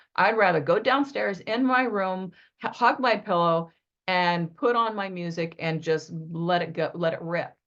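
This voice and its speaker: Using an ordinary speaking voice, a woman talks at a moderate pace with medium pitch and lively intonation. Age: 50s. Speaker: spiritual mentor. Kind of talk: spiritual teaching talk.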